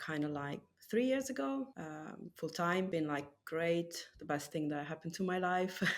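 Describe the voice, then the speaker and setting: A woman's very deep, low voice with an Italian accent on a very clean recording with a silent background. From Italy. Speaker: tattoo artist. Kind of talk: casual chat.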